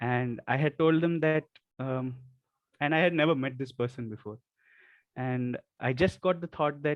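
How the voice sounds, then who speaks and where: Soft-spoken and fairly high in pitch, a man talks at a moderate pace with ordinary pitch variation and long, frequent pauses. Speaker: Ayurveda medical student. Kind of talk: testimony.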